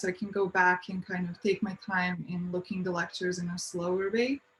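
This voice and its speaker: A woman with a non-native accent talks at a moderate pace in a monotone, flat intonation. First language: not English. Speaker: university student panelist. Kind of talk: panel discussion.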